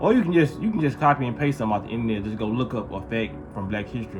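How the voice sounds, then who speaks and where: A man talks at a very fast pace and a medium pitch. Audible room echo and noticeable background noise fill the recording. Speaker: vlogger. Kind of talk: casual monologue.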